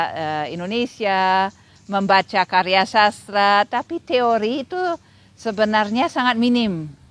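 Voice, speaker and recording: Speaking with a German accent, a woman talks at a very slow pace with ordinary pitch variation. The sound is dry and close, with no echo. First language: German (speaking Indonesian). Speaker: literary critic and lecturer. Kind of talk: interview. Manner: hesitant, many fillers.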